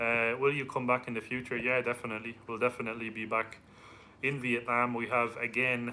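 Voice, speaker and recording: A man with an Irish accent, medium pitch, monotone, flat intonation and a fairly quick pace. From Ireland. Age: 30s. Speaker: travel vlogger. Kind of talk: live stream Q&A.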